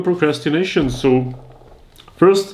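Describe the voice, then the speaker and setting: Lively intonation marks a man's speech over noticeable background noise. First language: not English. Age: 20s. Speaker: YouTuber giving advice. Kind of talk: advice monologue.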